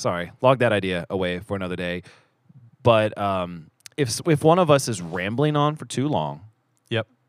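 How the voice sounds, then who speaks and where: With lively intonation, a man talks at a fairly low pitch. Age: 30s. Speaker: church elder and podcast host. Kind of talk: casual chat. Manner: fast talker; mumbles, trailing off sentences.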